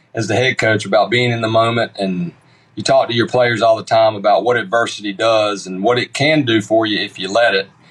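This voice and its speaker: Speaking at a fairly quick pace, a man with a Southern US accent uses ordinary pitch variation. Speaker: baseball coach. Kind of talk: radio interview.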